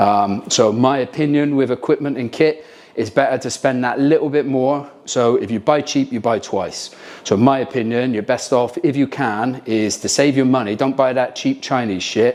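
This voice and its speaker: In a British accent, a man speaks at a moderate pace with a medium pitch and fairly even intonation. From Britain. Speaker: military team leader. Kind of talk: gear review talk to camera. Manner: casual, hesitant with frequent ums.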